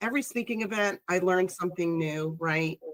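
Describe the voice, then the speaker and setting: Speaking with a Chicago accent, a woman has a medium pitch, an animated tone and a fairly quick pace. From Chicago, US Midwest. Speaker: public speaker, industry professional. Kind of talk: casual chat.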